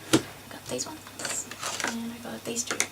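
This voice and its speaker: A soft-spoken woman talks with an Australian accent at a fairly high pitch. Noticeable background noise and audible room echo surround her. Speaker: art YouTuber. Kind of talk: casual haul video. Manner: halting. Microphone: too quiet.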